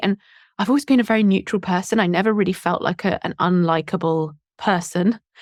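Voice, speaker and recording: Recorded very cleanly against a silent background with a dry, close sound and no echo, a woman with a Southern English accent speaks at a medium pitch and a fairly quick pace, her intonation fairly even. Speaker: YouTube English teacher and entrepreneur. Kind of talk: podcast interview.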